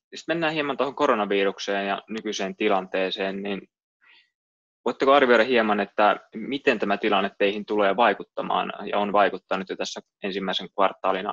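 A man's fairly low voice at a moderate pace with ordinary pitch variation, dry and echo-free against a quiet background. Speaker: investment analyst interviewer. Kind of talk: business interview. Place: home room. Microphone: webcam.

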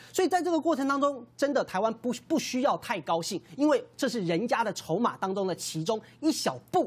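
This man talks at a moderate pace with hardly any pauses, his extremely high pitch swinging very widely. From Taiwan. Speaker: city councillor. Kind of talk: TV political panel talk. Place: studio.

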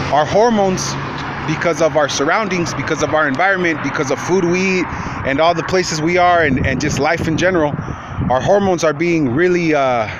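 Against noticeable background noise, a man talks at a fairly quick pace, the sound dry with no echo. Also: ordinary pitch variation. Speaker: vlogger. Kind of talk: casual vlog chat, advice. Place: street. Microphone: phone near.

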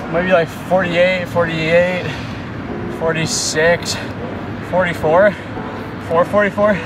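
A man's voice at a moderate pace, dry and echo-free, with music playing in the background. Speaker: runner vlogger. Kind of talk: casual vlog chat. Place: stadium.

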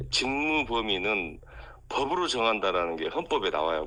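A man speaks in a bright, sharp tone. His pitch swings very widely. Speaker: national lawmaker. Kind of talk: interview.

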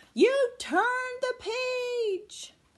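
Very slow, extremely high-pitched put-on character voice from a woman. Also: ordinary pitch variation.

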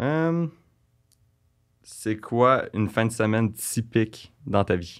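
In a Quebec accent, a man talks at a very slow pace with long, frequent pauses and ordinary pitch variation against a quiet background. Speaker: blind date guest; guest. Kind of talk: casual chat. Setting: studio. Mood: playful, slightly shy. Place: studio. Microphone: studio mic.

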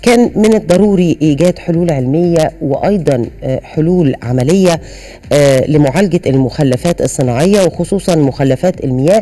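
A woman speaks at a moderate pace with lively intonation and a very deep, low pitch. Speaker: TV program host. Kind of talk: program introduction. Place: studio.

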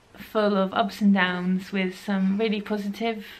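A woman talks at a fairly slow pace in a flat, monotone intonation. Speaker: knitting podcaster. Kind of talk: casual vlog chat. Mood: warm, grateful. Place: home room.

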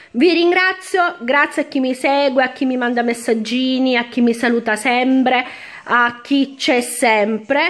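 Speaking at a high pitch and a fairly slow pace, a woman keeps very even loudness and ordinary pitch variation. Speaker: beauty product youtuber; beauty haul vlogger. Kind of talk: product haul video. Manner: casual, chatty. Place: home room. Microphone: phone near.

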